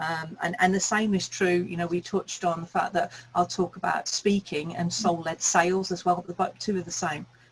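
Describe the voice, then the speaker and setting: A woman with a fairly low pitch speaks in a monotone, flat intonation over noticeable background noise. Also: moderate pace, hardly any pauses. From England, Birmingham. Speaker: speaking coach. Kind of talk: interview chat.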